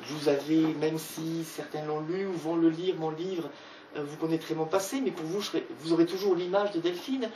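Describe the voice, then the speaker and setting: Amid noticeable background noise, a woman speaks at a moderate pace. Her pitch is fairly low and her intonation fairly even. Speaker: author presenting her book. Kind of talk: book talk with audience. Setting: bookshop event with audience.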